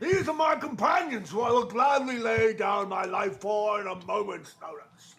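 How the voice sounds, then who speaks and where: This man shouts in a put-on character voice pitched high, with very wide pitch swings. He barely pauses at all. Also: moderate pace. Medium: actual play. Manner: grandiose, formal.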